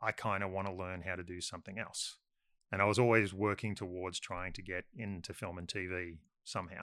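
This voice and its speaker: With an Australian accent, a man speaks at a fairly quick pace in a very deep, low pitch with a bright, sharp tone and monotone, flat intonation, on a very clean recording with a silent background. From Sydney western suburbs, Australia. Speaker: filmmaker. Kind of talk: casual chat.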